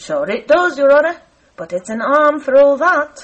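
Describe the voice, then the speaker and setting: Using a put-on character voice, a woman speaks high-pitched at a moderate pace. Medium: read story. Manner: deferential, folksy.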